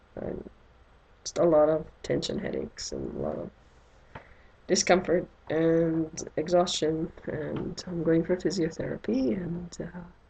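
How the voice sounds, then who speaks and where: Her voice fairly low in pitch with vocal fry and a dark, mellow tone, a woman speaks at a fairly slow pace with fairly even intonation and big swings in loudness. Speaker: doll collector vlogger. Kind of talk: unboxing video.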